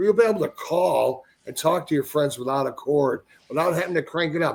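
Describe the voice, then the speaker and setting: This is an ordinary speaking voice at a fairly quick pace. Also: man. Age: 60s. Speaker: TV network owner and Bigfoot eyewitness. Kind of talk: casual podcast interview.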